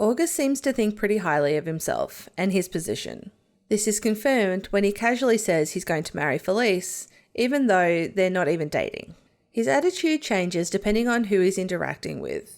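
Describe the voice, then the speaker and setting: A woman speaks with an Australian accent at a medium pitch. Her pace is fairly quick and her intonation lively. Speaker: YouTube TV show reviewer. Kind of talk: video analysis commentary.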